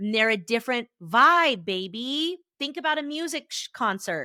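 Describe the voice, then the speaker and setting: Bright and sharp in tone, a woman's fairly high voice moves with lively intonation at a moderate pace, dry and close with no echo on a very clean recording with a silent background. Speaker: therapist and podcast host. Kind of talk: motivational podcast monologue. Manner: loud.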